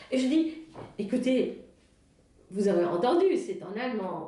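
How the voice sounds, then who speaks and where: A woman with a German accent talks at a fairly slow pace and a medium pitch, her voice making very wide pitch swings. Audible room echo and noticeable background noise fill the recording. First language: German (speaking French). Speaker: Alzheimer café organizer. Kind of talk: interview. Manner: halting, many fillers.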